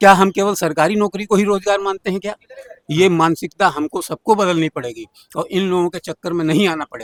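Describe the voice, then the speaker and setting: A man speaks in a high voice. The sound is dry and close with no echo. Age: 60s. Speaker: political party worker. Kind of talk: street interview. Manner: animated.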